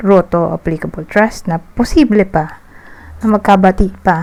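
A woman's medium-pitched voice holds a fairly even intonation amid noticeable background noise. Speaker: tarot reader. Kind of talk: tarot reading monologue. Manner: casual, hesitant with fillers.

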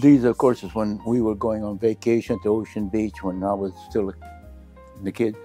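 The speaker has an American accent. Faint music plays in the background. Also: man. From US West. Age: 80s+. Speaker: retired architect; interviewee. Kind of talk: interview. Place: home room. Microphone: lapel.

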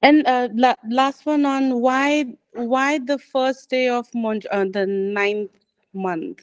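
A woman's high voice at a very slow pace, with ordinary pitch variation and a quiet background. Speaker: book club member. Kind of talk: book club discussion. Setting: video call. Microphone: video call.

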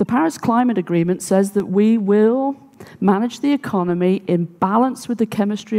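A woman at a moderate pace with ordinary pitch variation, over a quiet background. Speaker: conference speaker. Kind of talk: talk to audience. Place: stage. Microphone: headset.

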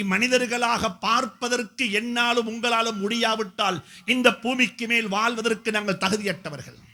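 Extremely high-pitched, raised and projected male voice. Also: fairly even intonation. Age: 50s. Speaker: Islamic scholar and preacher. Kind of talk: speech at a community event. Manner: emphatic, repetitive oratory.

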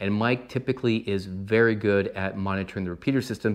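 A man with an unremarkable speaking voice, fairly low pitch, fairly even intonation, moderate pace, quiet background. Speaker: ham radio hobbyist. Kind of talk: casual explainer vlog. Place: home room.

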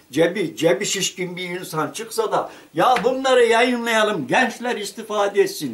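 A man with a high-pitched voice speaks at a fairly slow pace. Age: 70s. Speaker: retired local journalist and writer. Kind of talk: interview answer. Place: home room. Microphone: camera far.

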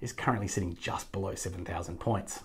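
The background stays quiet. A man talks with a somewhat breathy voice. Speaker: news presenter. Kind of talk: news roundup commentary. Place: office. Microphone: lapel.

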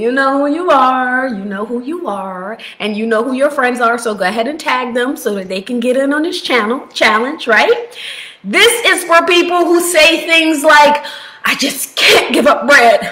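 Using a raised, projected voice, a woman talks at a moderate pace with very wide pitch swings. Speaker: health coach. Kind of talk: casual vlog chat. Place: home room. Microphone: webcam.

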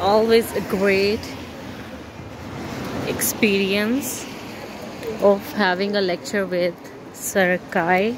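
A woman speaks slowly at a medium pitch with fairly even intonation over clear background noise.

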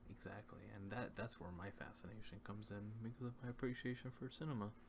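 A soft-spoken man whispering, somewhat breathy, at a very fast pace over noticeable background noise. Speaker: ASMR co-host. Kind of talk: ASMR true crime narration. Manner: soft-spoken, whispered. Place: home room.

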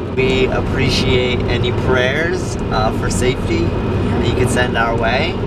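A man's fairly slow speech with ordinary pitch variation, dry with no echo, under loud background noise. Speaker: vlogger. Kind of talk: casual vlog chat. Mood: cheerful, joking. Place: car. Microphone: camera far.

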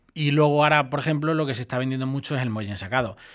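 Quiet background, a man, and ordinary pitch variation. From Ciudad Real province, Spain; Spain. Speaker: furniture and mattress shop manager; mattress seller. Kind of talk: radio interview. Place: studio. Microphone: studio mic.

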